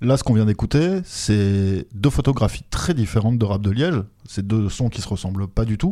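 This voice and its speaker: With lively intonation and a dark, mellow tone, a man talks at a fairly low pitch and a moderate pace. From France. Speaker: podcast host. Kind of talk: interview; scripted narration.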